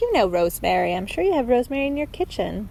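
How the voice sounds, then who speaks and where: This woman speaks with a high pitch. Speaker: knitting podcaster. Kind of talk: casual podcast monologue. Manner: chatty, filler-heavy.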